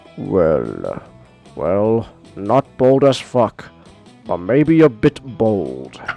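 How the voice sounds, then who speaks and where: Using a booming, put-on character voice, a man speaks at a very slow pace with long, frequent pauses while faint music plays in the background. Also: medium pitch for a man. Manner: grandly pronouncing.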